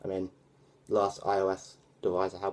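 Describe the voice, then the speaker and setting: A man with a British accent speaks in a very deep, low pitch. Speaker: tech vlogger. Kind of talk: casual vlog review. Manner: hesitant, many fillers.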